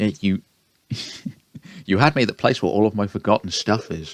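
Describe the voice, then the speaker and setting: A man speaks with a British accent at a fairly low pitch and a moderate pace. The sound is dry and close with no echo, and the background is quiet. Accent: British accent, self-described. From Britain. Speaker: gaming YouTuber. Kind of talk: let's play commentary, reading game dialogue aloud. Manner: casual, self-deprecating.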